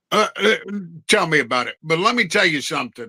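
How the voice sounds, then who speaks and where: In an American accent, the voice has a bright, sharp tone, with a dry, close sound and no echo. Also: man. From New Jersey. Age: 50s. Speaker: podcast co-host. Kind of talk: casual chat.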